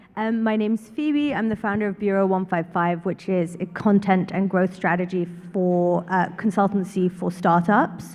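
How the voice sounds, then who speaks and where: Woman with a London accent, medium in pitch and fairly even in intonation, at a moderate pace with hardly any pauses. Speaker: startup consultant. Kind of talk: panel introduction.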